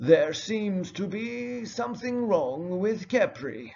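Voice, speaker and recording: Putting on a character voice, a man speaks at a very slow pace in a high pitch. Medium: read story. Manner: calm, earnest.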